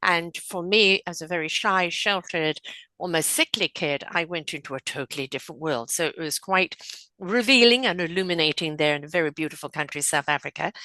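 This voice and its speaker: Delivered in an English accent, the voice has a bright, sharp tone, a fairly quick pace and ordinary pitch variation. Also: woman, fairly low pitch for a woman. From England. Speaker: spiritual counselor and podcaster. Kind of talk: podcast interview.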